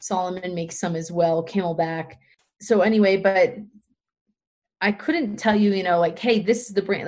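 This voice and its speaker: A woman speaks in a normal speaking voice with an American accent. Her pitch is medium and her intonation fairly even. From Pennsylvania. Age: 30s. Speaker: trail runner and running community founder. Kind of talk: casual interview.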